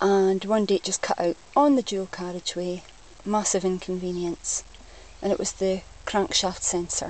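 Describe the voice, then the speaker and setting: A woman speaks with a Scottish accent. She keeps a fairly slow pace. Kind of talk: casual talk to camera.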